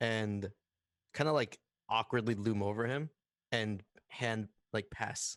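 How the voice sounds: A natural reading voice, with usual pitch movement, is heard in quiet surroundings.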